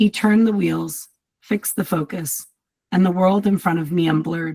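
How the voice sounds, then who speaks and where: The voice is somewhat breathy and moves at a moderate pace, with a dry, close sound and no echo. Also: woman. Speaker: writer reading own work. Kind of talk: reading aloud.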